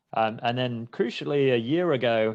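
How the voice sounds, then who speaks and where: There is a quiet background behind this man. He speaks at a medium pitch with a British accent. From UK. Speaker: startup fundraising executive. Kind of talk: webinar interview.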